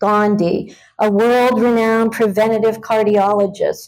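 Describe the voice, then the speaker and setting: Here is a woman with an unremarkable speaking voice, fairly high in pitch, fairly even in intonation. She talks at a fairly slow pace on a very clean recording with a silent background. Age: 60s. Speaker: patient giving a testimonial. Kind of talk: testimony. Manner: measured, prepared delivery.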